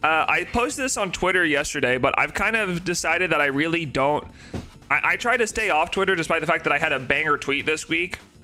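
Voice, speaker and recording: Over music in the background, a man talks at a very fast pace in a high voice, with ordinary pitch variation and very even loudness. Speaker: shiny hunting streamer. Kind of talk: casual live stream chat.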